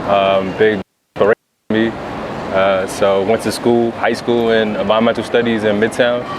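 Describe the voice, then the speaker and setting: At a moderate pace, a man with a New York accent speaks at a fairly low pitch, his intonation monotone and flat and his loudness very even. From New York City (Manhattan, Queens). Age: 20s. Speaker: clothing brand founder. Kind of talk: casual interview.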